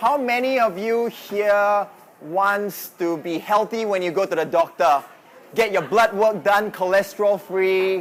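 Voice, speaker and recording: A man with a Singaporean accent speaks at a fairly slow pace and a high pitch, with ordinary pitch variation. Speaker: fitness coach. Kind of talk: presentation. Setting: live audience in a noisy venue.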